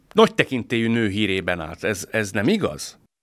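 Quiet background, with a man talking at a moderate pace. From Hungary. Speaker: podcast host. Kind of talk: interview discussion. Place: studio. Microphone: studio mic.

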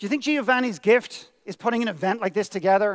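Talking at a very fast clip, a man with an Irish accent uses a high voice against a quiet background. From Ireland. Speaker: motivational speaker. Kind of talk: keynote speech. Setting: stage with audience. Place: stage. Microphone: headset.

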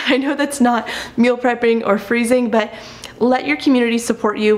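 This woman's high-pitched voice moves at a fairly quick pace with ordinary pitch variation. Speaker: vlogger. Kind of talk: casual vlog tutorial chat. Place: kitchen.

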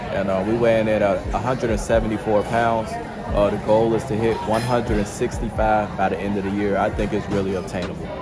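There is clear music in the background. Over it, a man talks. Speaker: food vlogger. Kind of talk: casual vlog chat. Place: cafe. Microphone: phone near.

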